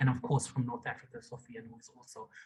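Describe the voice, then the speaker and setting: A somewhat breathy man's voice at a medium pitch. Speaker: civil society organization leader. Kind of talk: online meeting remarks.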